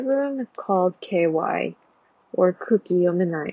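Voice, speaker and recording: Her American accent comes with ordinary pitch variation as this woman talks. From United States. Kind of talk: reflective vlog voiceover.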